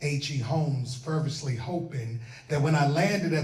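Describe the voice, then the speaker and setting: A man with a fairly high pitch speaks fairly slowly while noticeable background noise plays. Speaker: spoken word poet. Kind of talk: spoken word performance. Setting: live event audience. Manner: lively.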